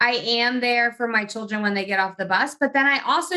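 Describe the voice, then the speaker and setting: A fairly quick-paced woman's voice, high in pitch, with an American accent. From New Jersey. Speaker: business coach and entrepreneur. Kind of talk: interview.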